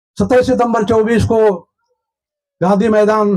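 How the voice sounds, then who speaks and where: The voice belongs to a man and is high in pitch. His intonation is monotone and flat. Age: 70s. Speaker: Buddhist movement activist. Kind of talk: public speech at rally.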